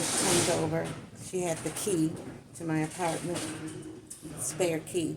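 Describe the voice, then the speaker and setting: A woman's fairly low pitch, monotone, flat intonation, and moderate pace, with audible room echo and noticeable background noise. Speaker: vlogger. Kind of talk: casual storytelling. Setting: cafe, then outdoors. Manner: loud.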